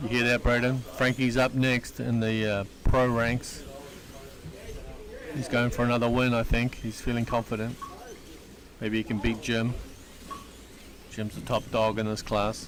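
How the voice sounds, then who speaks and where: Speech comes at a fairly slow pace with long, frequent pauses over noticeable background noise. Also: man, medium pitch for a man. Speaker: slot car race commentator. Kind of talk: live commentary. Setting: slot car raceway, live stream. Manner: mumbling; animated.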